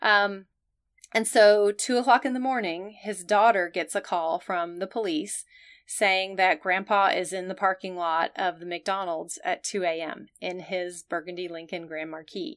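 A woman speaks at a fairly slow pace in a normal speaking voice, with ordinary pitch variation. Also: medium pitch for a woman, very clean recording, silent background. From US South. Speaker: emergency nurse, podcast co-host. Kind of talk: educational podcast chat.

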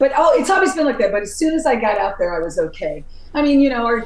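A woman with an American accent talks very fast in an animated tone, with noticeable background noise. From upstate New York. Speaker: heavy metal vocalist. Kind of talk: casual interview.

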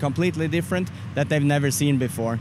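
In a Swedish accent, a man speaks at a fairly high pitch. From Sweden. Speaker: barbecue competitor. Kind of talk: casual interview. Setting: outdoors at barbecue festival.

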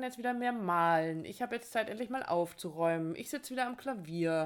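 In a very clean recording with a silent background, a woman with an ordinary speaking voice speaks at a moderate pace with lively intonation. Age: 50s. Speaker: relationship podcast host and coach. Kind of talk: casual chat.

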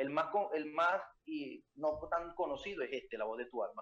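This is a man talking. His pace is moderate. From Venezuela. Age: 20s. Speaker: reading coach and entrepreneur. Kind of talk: interview.

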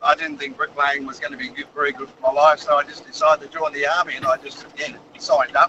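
Noticeable background noise sits behind a man with an Australian accent. He talks at a very fast pace, with big swings in loudness. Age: 60s. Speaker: caller, army veteran. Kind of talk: phone-in anecdote.

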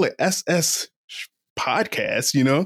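This is a man speaking. He has an American accent. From Eastern Shore of Virginia, US. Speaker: professional oyster shucker and podcaster, Army veteran. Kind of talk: casual interview.

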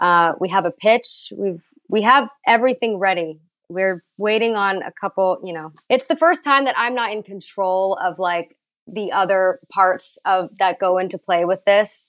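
Against a quiet background, a woman with an American accent talks in a normal speaking voice at a medium pitch and a fairly slow pace, with ordinary pitch variation and a dry, close sound with no echo. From Texas. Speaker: actress. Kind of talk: casual chat.

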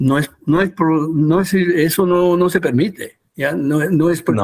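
Speaking at a fairly slow pace with hardly any pauses, a man keeps his loudness very even, his fairly high pitch showing ordinary variation. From US, Peruvian family. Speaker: human resources consultant. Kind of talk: interview. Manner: halting, many fillers and repeats.

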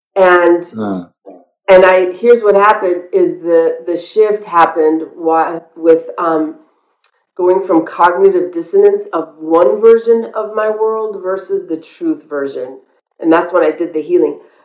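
At a fairly slow pace, a woman talks in an unremarkable speaking voice. Her pitch is medium. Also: ordinary pitch variation. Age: 50s. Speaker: author and recovery coach. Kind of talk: interview.

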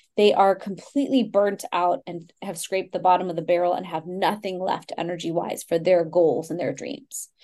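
A woman with a Texas accent and a dark, mellow tone speaks at a fairly quick pace. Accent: American, Texas. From Texas, Houston. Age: 40s. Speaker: Ayurvedic practitioner. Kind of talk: interview.

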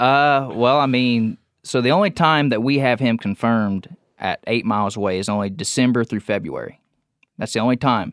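A man's moderate-paced, medium-pitched speech in an American accent with ordinary pitch variation. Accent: Southern-leaning rural. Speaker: deer hunter. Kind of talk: casual chat. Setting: studio.

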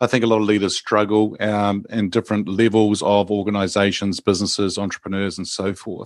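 A man with a New Zealand accent speaks at a fairly low pitch in a flat monotone. He hardly pauses at all. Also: fairly quick pace. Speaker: executive coach. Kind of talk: casual interview.

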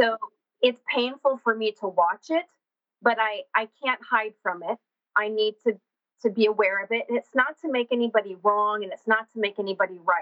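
A woman with an American accent at a moderate pace, with ordinary pitch variation. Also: fairly high pitch for a woman. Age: 40s. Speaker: horse trainer and functional anatomy specialist. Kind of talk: interview.

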